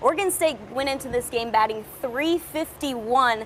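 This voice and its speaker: Through noticeable background noise, a woman speaks at a moderate pace in an upbeat, energetic tone. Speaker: sports reporter / host. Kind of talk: sports broadcast reporting.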